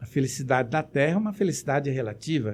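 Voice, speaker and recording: Moderately paced and lively in intonation, this man's speech carries a slightly breathy quality. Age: 70s. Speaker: spiritist lecturer. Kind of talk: lecture. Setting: web radio broadcast.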